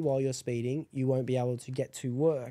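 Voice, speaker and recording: A man with a dark, mellow tone talks at a fairly quick pace, and the background is quiet. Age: 20s. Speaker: podcast host. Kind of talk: casual chat. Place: home room. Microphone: studio mic.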